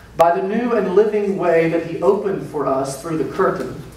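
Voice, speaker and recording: A man with a high pitch and ordinary pitch variation, going at a fairly slow pace amid audible room echo. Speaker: pastor. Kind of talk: scripture reading. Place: church. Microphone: podium.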